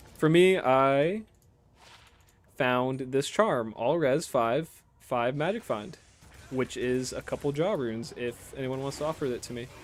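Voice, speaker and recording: Pausing long and often, a man speaks at a fairly high pitch with ordinary pitch variation. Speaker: gaming streamer. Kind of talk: casual chat. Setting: live stream. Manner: fast; animated.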